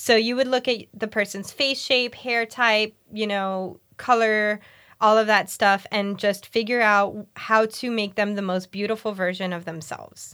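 Recorded very cleanly against a silent background, a woman with a normal speaking voice and fairly high pitch speaks at a fairly slow pace, with fairly even intonation and hardly any pauses. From Miami, Florida (Puerto Rican family). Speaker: hairdresser and business owner. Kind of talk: interview.

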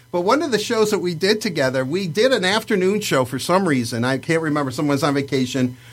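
Noticeable background noise sits behind a man whose fairly high voice races at a very fast pace with very wide pitch swings. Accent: American. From Livonia, Michigan. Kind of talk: casual chat. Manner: talkative, rambling storyteller.

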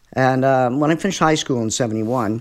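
Speaking with a Canadian accent, a man uses an ordinary speaking voice at medium pitch with lively intonation. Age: 60s. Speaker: musician. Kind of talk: casual chat. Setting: at his home.

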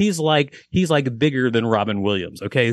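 A man speaks in a normal speaking voice at medium pitch. The sound is dry and close, without echo. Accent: American. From US South (Huntsville, Alabama), later Minneapolis. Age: 50s. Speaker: comedian and actor. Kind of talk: telling a joke; casual chat.

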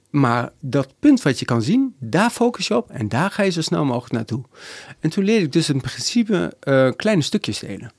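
The voice moves at a moderate pace with very wide pitch swings, captured on a very clean recording against a silent background. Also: man, fairly high pitch for a man. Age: 40s. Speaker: ultrarunner and sports masseur. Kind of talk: casual chat.

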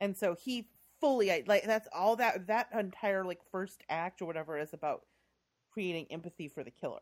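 An American accent from a woman with an ordinary speaking voice, medium pitch, lively intonation, big swings in loudness, a moderate pace, and a dry, close sound with no echo. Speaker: podcast host. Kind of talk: casual chat.

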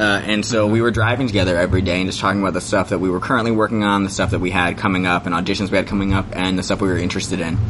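A man with a very deep, low voice rushes along at a very fast pace with hardly any pauses. His intonation is monotone and flat, and noticeable background noise runs underneath. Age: 30s. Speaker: actor and theater artist. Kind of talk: casual interview.

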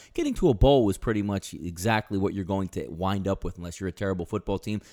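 In a normal speaking voice, a man talks at a fairly quick pace and fairly low pitch on a very clean recording with a silent background. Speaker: sports betting analyst segment host. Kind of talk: betting picks segment.

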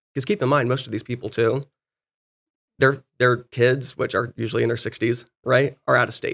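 A man speaks in a plain, everyday voice at medium pitch and a moderate pace, his intonation fairly even, on a very clean recording with a silent background. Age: 20s. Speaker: real estate investor and property manager. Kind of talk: interview.

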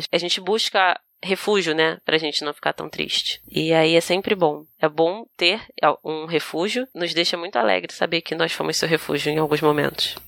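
A woman with a fairly low pitch and vocal fry speaks at a moderate pace with ordinary pitch variation. The sound is dry and close, with no echo. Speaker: podcast co-host. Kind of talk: casual chat. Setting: video call.

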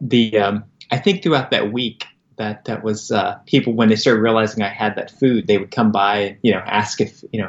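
A man with a plain, everyday voice speaks in an American accent at a medium pitch, a moderate pace and fairly even intonation. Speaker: nonprofit founder. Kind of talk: interview, casual conversation.

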